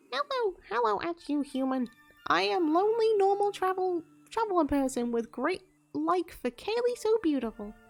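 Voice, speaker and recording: A woman's put-on character voice at an extremely high pitch, with very wide pitch swings, a moderate pace and faint music in the background. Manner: lonely, awkward.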